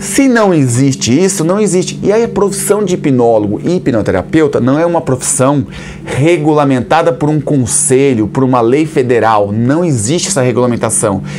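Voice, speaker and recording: Over noticeable background noise, a man with a fairly high pitch and lively intonation keeps his loudness very even and hardly pauses. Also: moderate pace. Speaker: hypnotherapist and instructor. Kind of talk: explainer talk to camera. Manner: animated, rhetorical questions.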